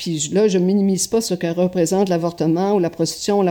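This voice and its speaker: A woman speaks at a very fast pace in a dark, mellow tone. Her intonation is flat and monotone. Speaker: journalist and documentary filmmaker. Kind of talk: interview.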